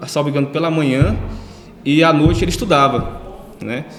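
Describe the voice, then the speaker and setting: A fairly high-pitched man at a fairly quick pace, with audible room echo and noticeable background noise. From Ceará, Brazil (Northeast). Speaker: lawyer. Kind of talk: interview. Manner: hesitant, many fillers.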